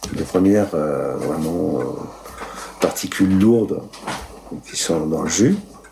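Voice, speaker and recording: A man with a very deep, low pitch talks at a very slow pace with lively intonation and long, frequent pauses, against noticeable background noise. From Italy, raised in Moselle. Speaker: winemaker. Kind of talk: interview. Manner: hesitant, many fillers.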